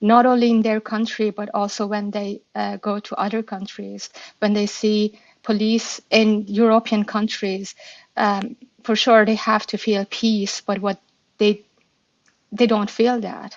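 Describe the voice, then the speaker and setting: In a Persian accent, a woman with a fairly high pitch speaks at a fairly slow pace with monotone, flat intonation. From Iran. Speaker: activist speaker. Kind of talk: live audio room discussion. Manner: halting, many fillers.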